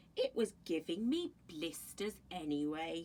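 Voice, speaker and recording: A woman adopts a put-on character voice at a fairly low pitch. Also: fairly slow pace. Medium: read story. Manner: warm, reassuring.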